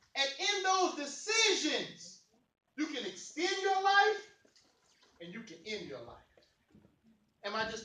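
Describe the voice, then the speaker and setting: A man uses a raised, projected voice with a bright, sharp, animated tone and very wide pitch swings. He speaks at a fairly slow pace, with long, frequent pauses and big swings in loudness. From East St. Louis, Illinois. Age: 40s. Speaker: motivational speaker. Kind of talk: motivational speech to youth. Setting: youth forum with audience.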